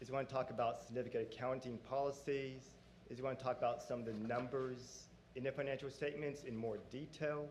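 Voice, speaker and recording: Monotone and flat, a man speaks at a medium pitch. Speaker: auditor presenting financial audit. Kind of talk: formal presentation to board. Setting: public board meeting.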